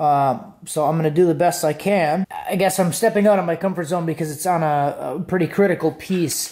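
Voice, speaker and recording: Against a quiet background, a man with a high voice talks at a fairly quick pace with fairly even intonation. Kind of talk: tutorial. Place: garage. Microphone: phone near.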